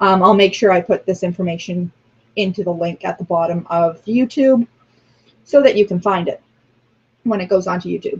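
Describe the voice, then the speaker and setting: A woman speaks at a moderate pace with long, frequent pauses. Her somewhat breathy voice sits at medium pitch with ordinary pitch variation. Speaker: religious class teacher. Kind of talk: online class lecture. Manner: frequent filler ums.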